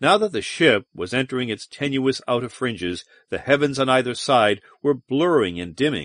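The voice reads naturally. Its pitch varies in an ordinary way, and the background is quiet.

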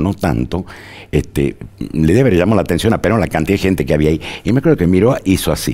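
Speaking very fast, a man keeps his intonation lively. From Argentina, Tucumán; Argentina. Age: 70s. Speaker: journalist and historian; journalist. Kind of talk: interview. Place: studio.

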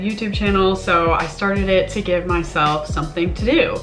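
A woman keeps a moderate pace as clear music sounds in the background. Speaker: vlogger. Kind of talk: casual vlog chat. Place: home room. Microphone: camera far.

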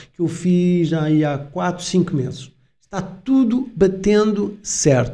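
A man speaks in a high, dark, mellow voice with lively intonation. The background is quiet. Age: 50s. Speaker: crypto YouTuber. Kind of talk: video commentary. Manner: animated. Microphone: studio mic.

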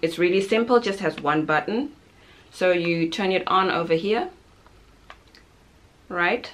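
Fairly low female speech with ordinary pitch variation. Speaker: parent reviewing a product. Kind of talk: product review talk. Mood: upbeat, enthusiastic. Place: home room. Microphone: camera far.

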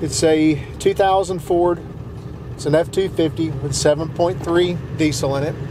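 Loud background noise behind a man speaking fairly slowly, with a dry sound and no echo. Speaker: channel host. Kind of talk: casual vlog chat. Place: car.

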